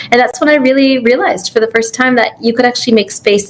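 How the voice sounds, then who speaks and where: Against noticeable background noise, a woman with a Canadian accent talks with fairly even intonation. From Canada. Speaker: physician and astronaut candidate. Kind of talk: interview.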